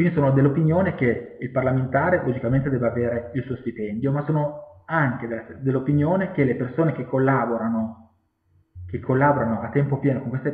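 A man talks at a fairly quick pace with ordinary pitch variation. Audible room echo surrounds his voice against a quiet background. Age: 30s. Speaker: political candidate and activist, civil engineer; candidate. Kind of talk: campaign self-presentation video. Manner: hesitant, with fillers and repetitions. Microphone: webcam.

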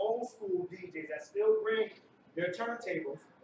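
With an American accent, a man talks at a moderate pace and with fairly even intonation, amid noticeable background noise and audible room echo. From Connecticut, US. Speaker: DJ; guest. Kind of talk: onstage talk. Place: hall. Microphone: camera far.

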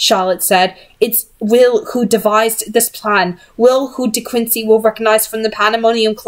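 Fairly even intonation from an unforced reading voice

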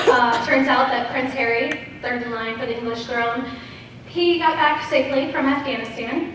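Spoken at a moderate pace with ordinary pitch variation, the voice carries strong room echo over light background noise. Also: woman. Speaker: stand-up comedian. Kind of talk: stand-up comedy routine. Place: stage.

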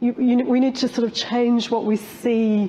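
This woman speaks in a British accent. Her pace is moderate. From UK. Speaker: professor. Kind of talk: conference panel discussion. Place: stage.

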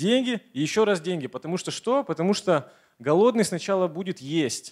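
Against a quiet background, a man speaks at a high pitch with very wide pitch swings. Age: 30s. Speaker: motivational speaker, network marketing partner; motivational speaker. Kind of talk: motivational speech. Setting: stage with audience. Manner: energetic. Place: hall. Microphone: handheld.

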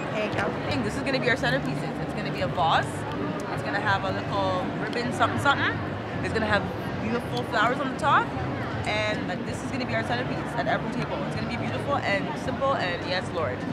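Someone talks at a very fast pace with music in the background. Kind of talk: casual vlog chat. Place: hall. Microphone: phone near.

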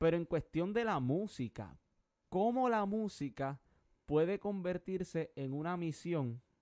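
The voice has a dark, mellow tone and lively intonation, at a fairly slow pace. The sound is dry with no echo, over a quiet background. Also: man, high pitch for a man. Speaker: TV show host. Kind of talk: interview. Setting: studio. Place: studio. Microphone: studio mic.

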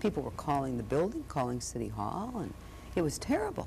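A woman talking at a very fast pace over light background noise. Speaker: interviewee. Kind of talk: interview answer. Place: studio. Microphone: lapel.

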